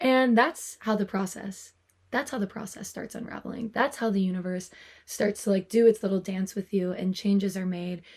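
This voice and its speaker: A soft-spoken, somewhat breathy woman at medium pitch, talking at a moderate pace. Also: ordinary pitch variation. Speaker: tarot reader. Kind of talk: soft-spoken tarot reading to camera; casual talk to camera. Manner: soft-spoken, quiet.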